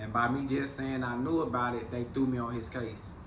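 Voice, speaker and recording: There is noticeable background noise. A man with an American accent talks at a fairly quick pace. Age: 40s. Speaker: former federal prisoner. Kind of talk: interview answer.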